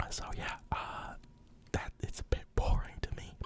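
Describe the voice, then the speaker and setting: Whispering at a very slow pace comes through noticeable background noise. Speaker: ASMR creator. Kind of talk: ASMR football commentary, casual talk. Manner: whispered, soft-spoken.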